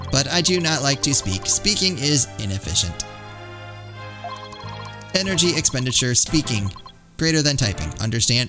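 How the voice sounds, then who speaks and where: Over clear music in the background, a man uses a put-on, robotic character voice of medium pitch. His pace is moderate, broken by long, frequent pauses. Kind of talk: stilted, mechanical phrasing. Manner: flat, clipped, terse.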